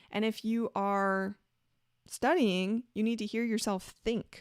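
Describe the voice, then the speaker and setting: A woman speaks in a normal speaking voice at a fairly high pitch, with ordinary pitch variation and a moderate pace. The recording is very clean with a silent background and a dry, close sound with no echo. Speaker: spiritual teacher and show host. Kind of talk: solo talk show lecture.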